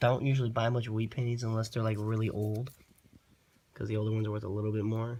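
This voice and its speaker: Delivered at a very fast pace, a man's medium-pitched, somewhat breathy voice stays monotone and flat. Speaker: coin collector YouTuber. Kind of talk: casual show-and-tell video. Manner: casual, hesitant.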